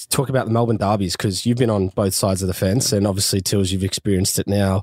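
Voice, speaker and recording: This man has an Australian accent. The recording is dry and close, without any echo. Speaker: podcast host. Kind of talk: casual chat.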